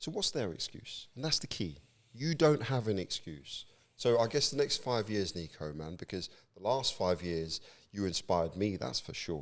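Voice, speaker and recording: A man talks loudly at a moderate pace. His fairly low voice has very wide pitch swings. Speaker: podcast host. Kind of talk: casual chat. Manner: animated.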